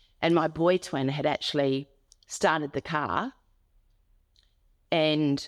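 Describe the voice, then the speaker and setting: Speaking with an Australian accent, a woman with a very deep, low pitch keeps a fairly even intonation in a very clean, silent recording with a dry, close sound and no echo. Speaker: domestic abuse survivor and advocate. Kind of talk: interview testimony.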